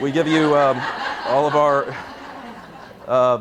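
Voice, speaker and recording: With a Kentucky accent and fairly even intonation, a man talks over noticeable background noise. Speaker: court reporting company representative. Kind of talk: sales presentation. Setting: seminar with audience. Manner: casual, joking, many filler words; quick.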